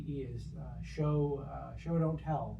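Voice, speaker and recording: A soft-spoken man is talking. Audible room echo surrounds his voice. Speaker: clinical pastoral education supervisor. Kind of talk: supervision session.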